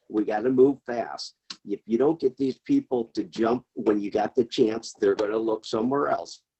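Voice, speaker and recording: A man's medium-pitched voice with a Midwestern US accent, ordinary pitch variation and a fairly slow pace. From Ohio, Elyria. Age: 60s. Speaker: city council member. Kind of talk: public meeting remarks. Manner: emphatic.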